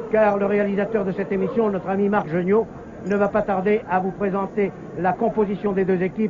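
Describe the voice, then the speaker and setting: A man with a high pitch, fairly quick pace and monotone, flat intonation amid noticeable background noise. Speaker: live football TV commentator. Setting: stadium, noisy crowd with horns and trumpets. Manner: formal, fluent, measured broadcaster delivery. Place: stadium. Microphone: old recording.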